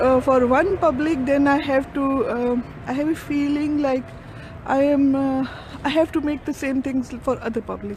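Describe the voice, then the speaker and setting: A woman speaks at a very slow pace in a high voice, with a Punjabi accent. There is noticeable background noise behind her. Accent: Punjabi-Urdu accent in English. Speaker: vlogger. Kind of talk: casual vlog monologue. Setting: outdoors, walking with camera. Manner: halting, many fillers.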